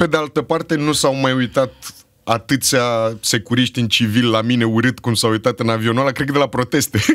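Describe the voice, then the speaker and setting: A man speaks at a fairly quick pace with very even loudness. His intonation is fairly even, and the background is quiet. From Romania, Bucharest (Berceni); Romania. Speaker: actor and screenwriter; actor. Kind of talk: casual chat. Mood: relaxed, humorous. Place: studio. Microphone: studio mic.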